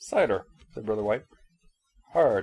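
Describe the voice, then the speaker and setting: Extremely high-pitched put-on character voice from a man. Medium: read story. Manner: weary, subdued.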